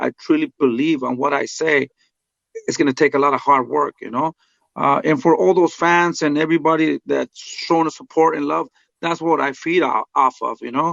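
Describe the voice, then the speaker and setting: A man with a Spanish accent, fairly high in pitch with ordinary pitch variation, at a moderate pace. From Mexico. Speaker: boxing trainer. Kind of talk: interview. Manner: halting, many fillers.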